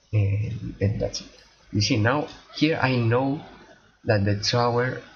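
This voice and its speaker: A man speaks at a very slow pace with very even loudness and audible room echo. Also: medium pitch for a man, ordinary pitch variation. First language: not English. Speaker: gaming streamer. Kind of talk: casual gameplay commentary. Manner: halting, many repetitions and fillers.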